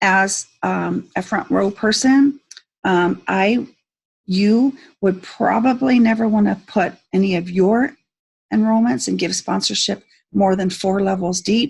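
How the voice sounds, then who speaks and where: At a fairly slow pace, a woman speaks with medium pitch, a somewhat breathy quality and lively intonation. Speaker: network marketing team leader. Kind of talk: tutorial. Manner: hesitant, many fillers.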